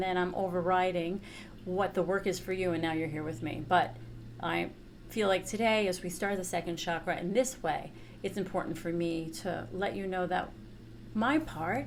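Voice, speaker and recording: Speaking with a New York accent, a woman at a medium pitch with vocal fry and ordinary pitch variation talks at a moderate pace, with audible room echo. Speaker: chakra teacher and therapist. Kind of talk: workshop teaching. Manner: casual, conversational.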